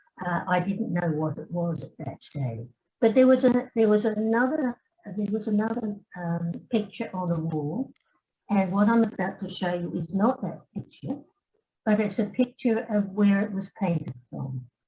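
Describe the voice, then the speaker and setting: Somewhat breathy, a woman with an Australian accent speaks at a moderate pace and medium pitch with lively intonation. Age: 80s+. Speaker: retired scientist and family historian. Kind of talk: conference talk. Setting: hybrid symposium, remote. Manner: hesitant, many fillers.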